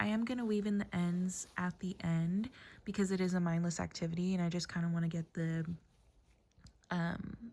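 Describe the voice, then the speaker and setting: A woman's fairly low, somewhat breathy voice with a dark, mellow tone, fairly even intonation, very even loudness and a moderate pace. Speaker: crochet vlogger. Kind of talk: casual crafting vlog. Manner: casual with frequent 'um' fillers.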